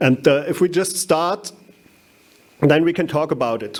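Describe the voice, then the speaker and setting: A man speaks with a German accent. His pace is fairly slow and his intonation lively. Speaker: winegrower, conference speaker. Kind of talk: conference talk. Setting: stage with audience. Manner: halting, many fillers.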